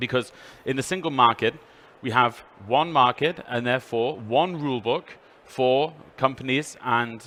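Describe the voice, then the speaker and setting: Medium male pitch, ordinary pitch variation and a moderate pace from a man. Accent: British. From United Kingdom. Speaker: EU official presenter. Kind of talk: trade fair presentation. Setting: trade fair stand with passing audience.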